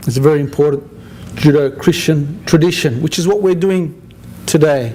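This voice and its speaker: At a moderate pace, a man with a fairly high pitch and ordinary pitch variation talks against noticeable background noise. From Australia (Sydney). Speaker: interfaith community organizer. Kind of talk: after-dinner speech. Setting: dinner event with audience, at microphone. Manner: halting, with frequent repetitions.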